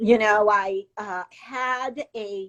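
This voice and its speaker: A woman with a fairly high voice speaks in a dry, close sound with no echo. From Hawaii, Kauai. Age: 60s. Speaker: interview guest. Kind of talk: casual interview.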